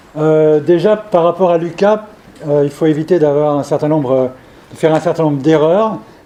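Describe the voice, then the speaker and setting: Against noticeable background noise, a man talks at a moderate pace with a fairly high pitch, ordinary pitch variation and very even loudness. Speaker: professor and evolutionary biologist. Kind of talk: scientific seminar lecture. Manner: hesitant, many fillers and repetitions.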